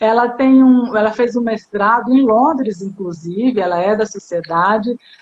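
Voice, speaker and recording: With a Bahian accent, a woman speaks at a fairly slow pace, her fairly high pitch showing ordinary variation. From Bahia, Brazil. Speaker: psychoanalyst and live-stream host. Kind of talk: casual chat. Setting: online live stream.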